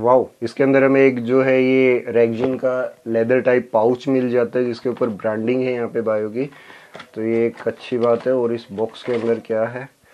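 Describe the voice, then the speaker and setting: Over light background noise, a man speaks at a fairly slow pace with monotone, flat intonation. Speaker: tech youtuber. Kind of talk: unboxing review. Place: home room.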